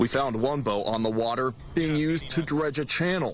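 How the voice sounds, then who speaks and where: A man with an American accent, fairly high in pitch, at a moderate pace with ordinary pitch variation, over noticeable background noise. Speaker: TV news anchor and reporter. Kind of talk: field reporter package narration.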